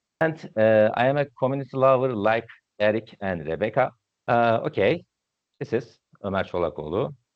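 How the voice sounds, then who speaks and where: A man speaks with a Turkish accent at a moderate pace. His medium-pitched voice has lively intonation. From Turkey. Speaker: database instructor. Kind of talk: technical presentation. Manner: halting.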